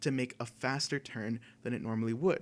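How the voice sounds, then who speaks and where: A man's normal speaking voice, medium in pitch with ordinary pitch variation, at a moderate pace in a very clean recording with a silent background. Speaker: student club presenter. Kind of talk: presentation.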